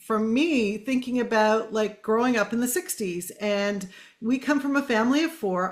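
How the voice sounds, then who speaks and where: Speaking with a Canadian accent, a woman keeps her loudness very even while her pitch varies in an ordinary way, in a plain, everyday voice. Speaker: podcast host. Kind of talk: casual interview chat.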